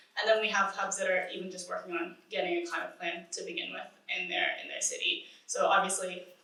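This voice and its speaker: A woman talks at a fairly quick pace, with audible room echo and noticeable background noise. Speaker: climate nonprofit manager. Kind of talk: conference panel talk. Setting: conference panel with audience. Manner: mumbling; hesitant, many fillers.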